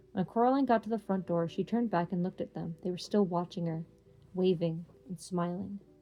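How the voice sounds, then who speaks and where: A woman talks at a moderate speed over background music. Her pitch varies in an ordinary way. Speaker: reads books aloud for an online channel. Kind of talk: reading aloud; casual chat. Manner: halting, stumbles over words.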